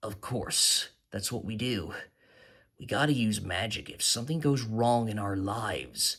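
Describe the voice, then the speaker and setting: Using a put-on character voice, a man speaks at a moderate pace and a medium pitch. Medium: read story.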